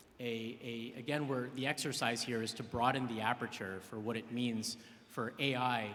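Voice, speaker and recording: Audible room echo surrounds a man speaking at a medium pitch with monotone, flat intonation. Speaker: AI tech entrepreneur, keynote speaker. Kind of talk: conference keynote presentation. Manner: fast.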